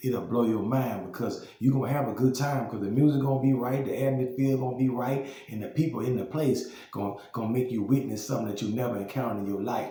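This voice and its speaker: A man with a Southern US accent talks at a very fast pace with hardly any pauses, amid audible room echo and noticeable background noise. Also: medium pitch for a man, fairly even intonation. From Louisiana, Baton Rouge. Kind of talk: casual monologue vlog. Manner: halting, many repetitions and fillers.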